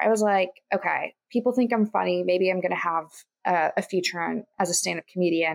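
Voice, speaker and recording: A woman with an American accent speaks at a moderate pace in a normal speaking voice, her intonation lively and the sound dry and close with no echo. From Kansas. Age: 20s. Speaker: entrepreneur and podcast host. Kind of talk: interview.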